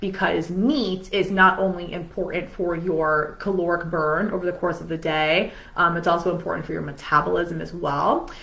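In a plain, everyday voice, a woman speaks at a fairly low pitch and moderate pace with fairly even intonation. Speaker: weight loss coach. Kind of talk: casual coaching talk to camera. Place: home room.

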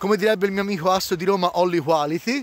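The sound is dry with no echo. Pitch variation is ordinary. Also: man. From Florence, Italy; Tuscany, Italy. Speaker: vlogger. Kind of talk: casual vlog monologue. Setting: outdoors by a snowy lake. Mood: jokey, enthusiastic. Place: waterside. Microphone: phone near.

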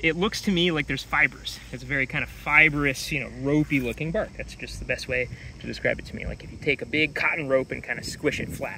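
Noticeable background noise surrounds a man whose voice sounds dry, with no echo. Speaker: tree educator. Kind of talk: tutorial. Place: forest. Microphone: phone near.

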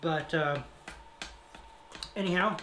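The voice moves at a fairly slow pace with ordinary pitch variation, and there is audible room echo.

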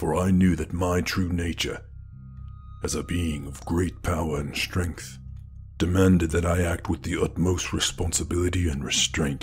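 Clear music plays behind a man with a very deep, low voice. He speaks in a calm tone at a moderate pace. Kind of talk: romantic ASMR roleplay. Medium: solo performance. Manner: low, calm and measured.

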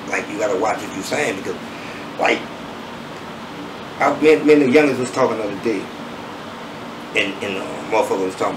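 With a strong New Orleans accent, a man talks at a very fast pace, with long, frequent pauses, big swings in loudness, and noticeable background noise. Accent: thick New Orleans. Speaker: rapper; interviewee. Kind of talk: interview. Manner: smooth. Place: home room.

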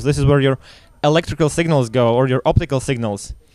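A man with a normal speaking voice, fairly high in pitch and with ordinary pitch variation, against a quiet background and a dry sound with no echo. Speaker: security researcher and workshop instructor. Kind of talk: lecture. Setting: stage with audience. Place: tent.

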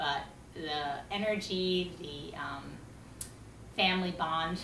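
Noticeable noise fills the background. Over it, a woman talks. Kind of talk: personal talk to camera. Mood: warm, smiling. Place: home room. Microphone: camera far.

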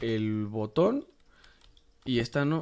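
His pitch moves in an ordinary way. The speaker is a man. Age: 20s. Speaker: gaming YouTuber. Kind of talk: gameplay commentary. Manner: casual, hesitant with fillers.

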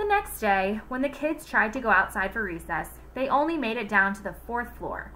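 Intonation rises and falls in a lively way. It comes from a natural reading voice.

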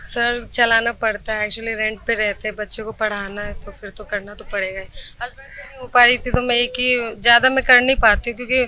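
A woman with a fairly high pitch speaks at a moderate pace with hardly any pauses, her intonation fairly even but her loudness swinging widely, in a dry, echo-free recording with light background noise. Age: 20s. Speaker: housewife and part-time cook; interviewee. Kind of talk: interview. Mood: calm, somewhat weary. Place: street. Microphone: handheld.

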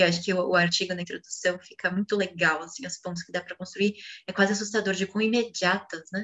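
Speech comes at a very fast pace with fairly even intonation. The background is quiet. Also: woman. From Brazil. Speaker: co-teacher reading the text aloud. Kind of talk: reading aloud and commenting in a class. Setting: video call, poor connection. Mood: calm, reflective. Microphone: video call.

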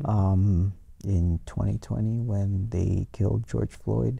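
A man speaks very slowly in a dark, mellow, somewhat breathy tone with lively intonation. The sound is dry, with no echo. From US-Mexico border, El Paso; US-Mexico border. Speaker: museum education curator; guest. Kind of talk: academic interview. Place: studio. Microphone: lapel.

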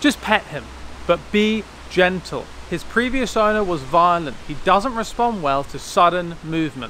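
Pitched high, a man speaks at a fairly slow pace with big swings in loudness, the sound dry with no echo over light background noise. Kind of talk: scripted comedy dialogue. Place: garden. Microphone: phone near.

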